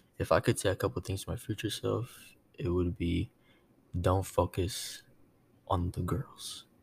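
Vocal fry runs through this man's very deep, low voice. He leaves long, frequent pauses, and the sound is dry and close with no echo. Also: ordinary pitch variation, fairly slow pace, very clean recording, silent background. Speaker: podcast co-host. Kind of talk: casual chat. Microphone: new mic.

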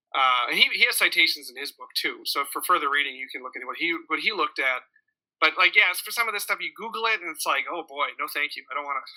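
Here a man with an American accent talks at a very fast pace. His loudness rises and falls in big swings. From Minnesota. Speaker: podcast host. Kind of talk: casual interview on religious topics. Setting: live stream recording.

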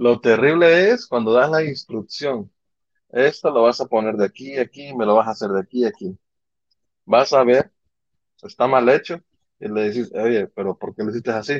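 A man at a medium pitch with ordinary pitch variation, moderate pace and long, frequent pauses, in a dry, close sound with no echo. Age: 30s. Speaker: podcast co-host. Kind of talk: casual chat.

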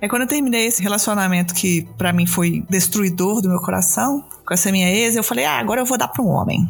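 Over noticeable background noise, a woman at medium pitch talks at a very fast pace with hardly any pauses, ordinary pitch variation and very even loudness. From Brazil, Belo Horizonte. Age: 30s. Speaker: podcast host, guest-hosting this episode. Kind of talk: casual chat.

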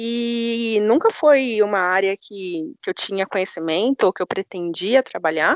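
A woman talks at a moderate pace with a medium pitch and lively intonation. Hers is a normal speaking voice. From São Paulo, Brazil. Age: 20s. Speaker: data analytics manager. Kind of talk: podcast interview.

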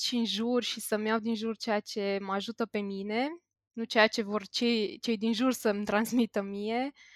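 Heard on a very clean recording with a silent background, a woman with a plain, everyday voice sounds dry and close with no echo, speaking at a moderate pace and a fairly high pitch with fairly even intonation. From Bucharest, Romania. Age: 20s. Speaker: IT worker. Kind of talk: casual chat.

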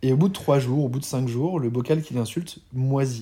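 This man talks at a fairly quick pace with a medium pitch and ordinary pitch variation. His voice is somewhat breathy. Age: 40s. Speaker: serial entrepreneur and educator. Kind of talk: casual interview chat.

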